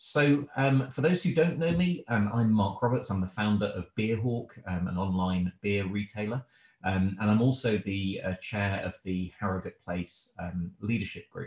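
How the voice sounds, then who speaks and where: Audible room echo surrounds a man whose somewhat breathy voice sits at a fairly low pitch and moves at a fairly slow pace against a quiet background. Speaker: host introducing a webinar. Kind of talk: event introduction. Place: home room. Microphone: video call.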